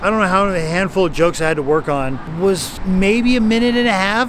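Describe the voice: A man talks at a fairly quick pace over clear background noise.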